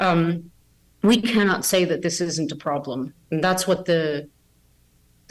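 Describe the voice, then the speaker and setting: A woman with a plain, everyday voice speaks fairly slowly, her pitch fairly low and its variation ordinary. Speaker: scientist, biologist. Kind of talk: interview, expert explanation. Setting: remote call, unstable internet.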